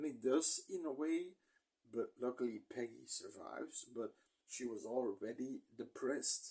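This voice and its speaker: At a fairly slow pace, a man talks with a non-native accent. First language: not English. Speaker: movie reviewer. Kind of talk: casual movie review monologue. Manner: halting, stumbling over words.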